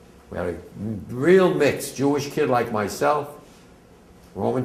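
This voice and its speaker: A man with an American accent at a medium pitch and a fairly slow pace, with audible room echo and noticeable background noise. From New Jersey, Bergen County (Englewood). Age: 80s+. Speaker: war veteran. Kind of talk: testimony. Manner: casual, digressive.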